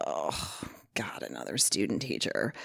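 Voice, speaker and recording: A woman's voice with vocal fry on a very clean recording with a silent background. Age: 40s. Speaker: former teacher. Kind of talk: casual chat.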